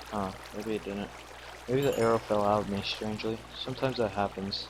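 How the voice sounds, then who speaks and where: With noticeable background noise behind him, a man speaks in a monotone, flat intonation. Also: fairly low pitch for a man, fairly quick pace. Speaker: gaming video creator. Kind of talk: let's play commentary. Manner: casual, chatty.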